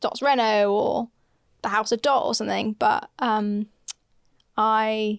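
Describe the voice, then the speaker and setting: Long, frequent pauses in a woman's fairly high voice with a British accent, very slow pace and fairly even intonation, dry and close with no echo. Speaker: podcast co-host and DIY renovation content creator. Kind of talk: casual chat. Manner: loud.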